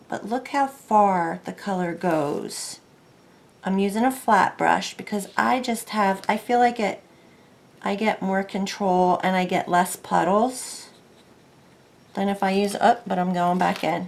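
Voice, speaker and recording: A woman speaks at a medium pitch. Her pace is fairly slow. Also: ordinary pitch variation. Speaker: craft video creator. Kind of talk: casual craft tutorial. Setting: at home. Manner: soft-spoken, calm. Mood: relaxed, chatty.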